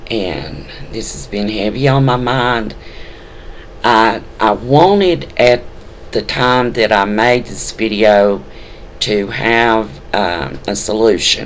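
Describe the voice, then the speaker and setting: With a Southern US accent, a man talks at a very slow pace with long, frequent pauses, medium pitch and ordinary pitch variation, amid audible room echo and noticeable background noise. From US South. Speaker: spiritual video blogger. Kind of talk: personal testimony. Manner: halting, many fillers.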